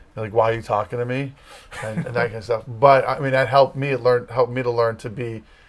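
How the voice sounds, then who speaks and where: This man talks at a very fast pace with a medium pitch and fairly even intonation. Noticeable background noise is present. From Massachusetts. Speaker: campus ministry leader, former youth pastor. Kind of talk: casual interview.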